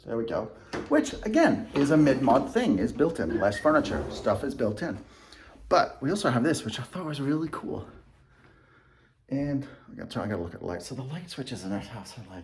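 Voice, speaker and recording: With audible room echo, a man with vocal fry speaks at a fairly quick pace, using long, frequent pauses, very wide pitch swings and big swings in loudness. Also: fairly high pitch for a man. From England, moved to US at twelve. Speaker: real estate agent. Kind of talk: house tour video. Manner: casual, conversational.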